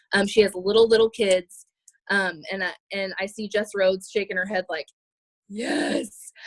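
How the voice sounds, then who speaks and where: A woman speaks with ordinary pitch variation. The sound is dry and close, with no echo. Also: medium pitch for a woman. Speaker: fitness coach team leader. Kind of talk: team training call. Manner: fast.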